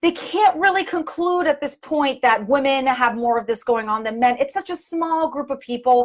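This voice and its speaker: A woman's loud, high voice moves at a moderate pace, its intonation lively. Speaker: physical therapist and performer. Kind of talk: live video talk explaining a study. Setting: live video. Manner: halting, self-correcting.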